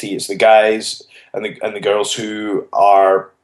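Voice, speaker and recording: The speaker talks at a moderate pace with a Scottish accent. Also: man. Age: 20s. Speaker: professional wrestler. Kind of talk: interview.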